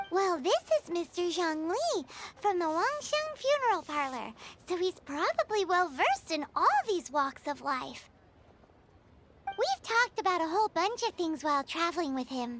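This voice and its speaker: At a moderate pace, a put-on character voice is pitched extremely high. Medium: fan dub. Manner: chatty, excitable.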